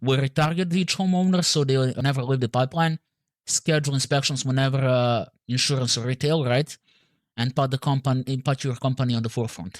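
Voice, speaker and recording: A man with a Serbian accent speaks at a medium pitch with ordinary pitch variation on a very clean recording with a silent background. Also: dry, close sound with no echo. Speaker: marketing agency owner. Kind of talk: sales call. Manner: halting, many fillers.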